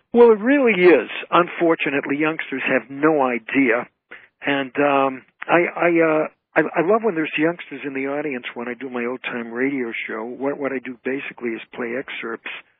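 A man with a normal speaking voice, fairly high pitch, ordinary pitch variation, moderate pace and big swings in loudness. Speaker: entertainer, comedian and author. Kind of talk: interview answer.

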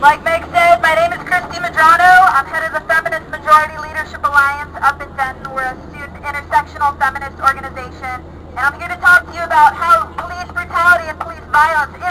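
A woman speaks in a raised, projected voice. She goes at a very fast pace with hardly any pauses. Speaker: speaker. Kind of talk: rally speech. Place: open country. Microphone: camera far.

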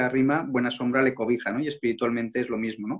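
A man speaks at a fairly quick pace with fairly even intonation, and the background is quiet. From Spain, Zaragoza; Spain. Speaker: interview guest, journalist. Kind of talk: interview, faith testimony. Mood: calm, reflective, personal. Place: home room. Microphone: video call.

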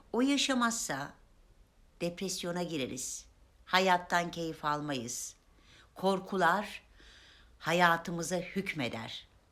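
On a very clean recording with a silent background, a woman speaks at a very slow pace, leaving long, frequent pauses. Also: fairly low pitch for a woman, lively intonation. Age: 50s. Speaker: self-help video maker. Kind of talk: motivational talk to camera.

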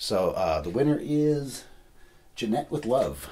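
Very wide pitch swings in a man's somewhat breathy delivery. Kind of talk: casual vlog chat. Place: home room. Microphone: camera far.

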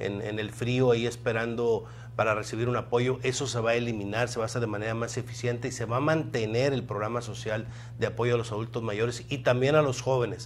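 A man talks fairly quickly at a medium pitch, his intonation fairly even. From Ciudad Victoria, Tamaulipas, Mexico; Tamaulipas, Mexico. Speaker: political candidate; candidate. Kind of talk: interview; interview answer. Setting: radio studio. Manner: halting, many fillers and repetitions. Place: studio. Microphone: lapel.

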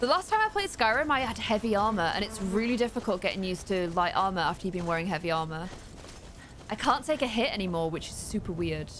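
A woman speaks at a very fast pace with a British accent and lively intonation. Light background noise sits behind her. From UK. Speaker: gaming streamer. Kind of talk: live gameplay commentary. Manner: animated. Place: home room.

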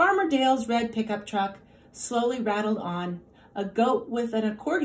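An unforced reading voice with ordinary shifts in pitch

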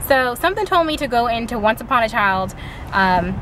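Against noticeable background noise, a woman talks at a moderate pace in a dry sound with no echo. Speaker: mom vlogger. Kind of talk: casual vlog chat. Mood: excited, chatty. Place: car. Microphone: phone near.

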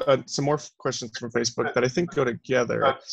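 Somewhat breathy speech in an American accent comes over a quiet background. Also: man. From Arizona. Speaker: student teaching assistant moderating Q&A; Q&A moderator. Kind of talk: Q&A moderation. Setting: video call. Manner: hesitant with fillers. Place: home room. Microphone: headset.

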